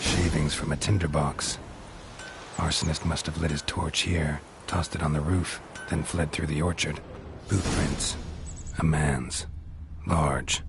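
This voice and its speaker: A man puts on a character voice with a very deep, low pitch at a moderate pace, leaving long, frequent pauses. Clear background noise can be heard. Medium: short film. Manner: deadpan, laconic.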